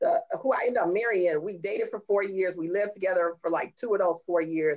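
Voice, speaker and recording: With an American accent, a woman's voice moves through very wide pitch swings. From Chicago area, US. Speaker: community college executive. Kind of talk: casual chat.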